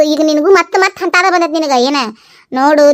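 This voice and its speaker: A woman uses a cartoonish character voice with a high pitch. She speaks at a moderate pace. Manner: long-winded, dramatic.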